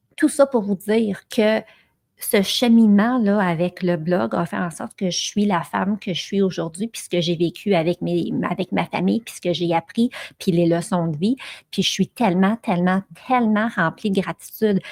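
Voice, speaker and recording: The sound is dry and close, with no echo. A woman speaks fairly slowly at a medium pitch, with ordinary pitch variation. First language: English (speaking French). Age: 40s. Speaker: podcast host and blogger. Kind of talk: solo podcast monologue. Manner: animated, with frequent fillers.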